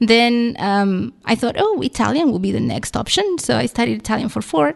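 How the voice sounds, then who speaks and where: A woman speaks at a moderate pace with a Spanish accent. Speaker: library staff, language resources guest. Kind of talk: radio interview. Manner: hesitant, many fillers.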